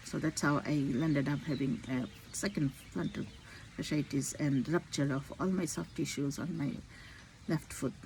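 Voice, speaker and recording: Very deep and low-pitched with vocal fry, a woman speaks at a moderate pace with lively intonation and long, frequent pauses. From India. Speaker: physician. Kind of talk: personal vlog monologue. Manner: halting.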